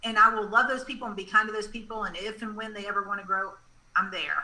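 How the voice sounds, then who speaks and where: A woman's fairly high voice at a very fast pace, fairly even in intonation, over noticeable background noise. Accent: Southern. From US South, Georgia. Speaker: business consultant. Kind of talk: casual interview chat.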